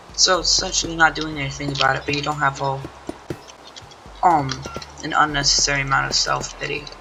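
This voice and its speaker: The speaker moves at a fairly quick pace but leaves long, frequent pauses. Music plays in the background. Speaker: gaming video creator. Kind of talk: casual monologue over gameplay. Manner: rambling, halting with fillers.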